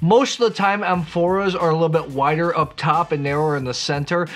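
Faint music plays in the background as a man talks at a fairly quick pace. His pitch varies in an ordinary way. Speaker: wine educator host. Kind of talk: educational explainer to camera. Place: home room.

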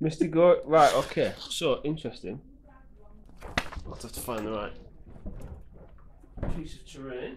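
A man's fairly slow, lively speech, broken by long, frequent pauses, with audible room echo. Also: medium pitch for a man.

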